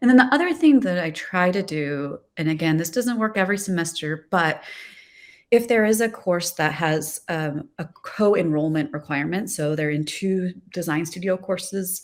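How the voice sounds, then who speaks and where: On a very clean recording with a silent background, a woman speaks at a medium pitch and a moderate pace with lively intonation in an unremarkable speaking voice. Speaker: design professor. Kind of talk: panel discussion.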